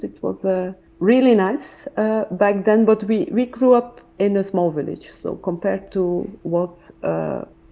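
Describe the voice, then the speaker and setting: Over noticeable background noise, a woman with a medium pitch speaks at a fairly slow pace with lively intonation. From West Flanders, Belgium. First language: Dutch (West Flemish). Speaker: professor. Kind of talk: interview.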